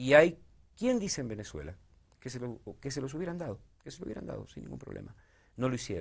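A man talks at a very fast pace with vocal fry, very wide pitch swings and big swings in loudness. Long pauses come often. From Argentina. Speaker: documentary filmmaker and political analyst; political analyst. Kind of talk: political discussion. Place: studio. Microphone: lapel.

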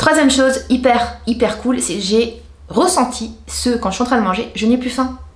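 Speaking at a moderate pace, a woman with a fairly high pitch uses an animated tone, and audible room echo surrounds her voice. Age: 40s. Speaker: beauty and lifestyle YouTuber; lifestyle YouTuber. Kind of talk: casual vlog talking to camera. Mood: cheerful, enthusiastic. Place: home room.

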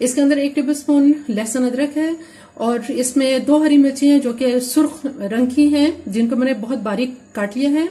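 A woman speaks at a high pitch with a dark, mellow tone and ordinary pitch variation. Her moderate pace has few pauses, and audible room echo surrounds her voice.

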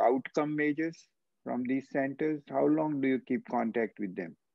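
A man speaks with ordinary pitch variation. The sound is dry with no echo, over a quiet background. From India. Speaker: transplant surgeon and foundation CEO, moderator; moderator. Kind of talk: moderated webinar discussion. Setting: video call. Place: home room. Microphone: video call.

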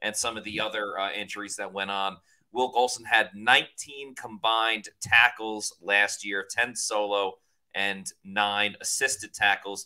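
Against a quiet background, a man with a plain, everyday voice talks slowly-ish at a fairly low pitch with fairly even intonation. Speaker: sports podcast host. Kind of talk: commentary. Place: home room. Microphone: studio mic.

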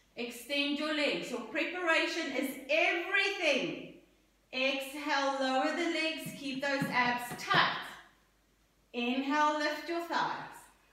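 With strong room echo, a woman speaks at a very slow pace, her pitch high with ordinary variation. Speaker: Pilates instructor. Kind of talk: guided exercise class, spoken cues. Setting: home video workout. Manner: calm, encouraging, rhythmic; warm, upbeat, laughs at own slip. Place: home room. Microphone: camera far.

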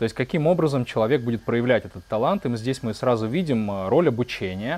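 A man talks at a moderate pace with a medium pitch. His intonation is lively. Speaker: founder of a talent-testing service; business coach. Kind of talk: explanatory presentation. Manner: formal. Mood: calm, measured. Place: garden.

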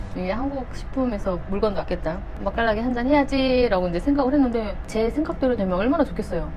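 A woman's voice over light background noise. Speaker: eating vlogger. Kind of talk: casual vlog chat. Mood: cheerful, laughing. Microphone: lapel.

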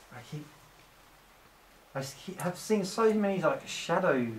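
With light background noise, a man talks at a moderate pace with lively intonation. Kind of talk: casual ghost-hunt commentary. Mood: hushed, uneasy. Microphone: phone near.

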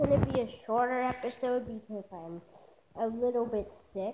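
A woman talks with light background noise behind her. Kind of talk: casual vlog chat, then toy skit voices. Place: home room. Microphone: phone near.

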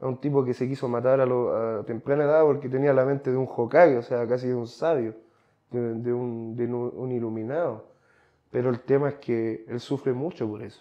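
A man talks with fairly even intonation, and the background stays quiet. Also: moderate pace. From Chile. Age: 20s. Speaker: psychology graduate; podcast guest. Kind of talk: casual chat. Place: home room. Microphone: lapel.

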